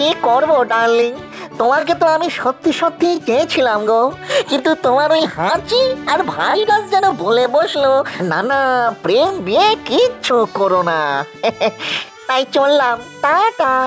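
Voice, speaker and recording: A cartoonish character voice that sounds female talks at a fairly slow pace. Clear music plays in the background. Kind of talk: comic overacting. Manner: wheedling, sing-song, ends phrases with 'go'.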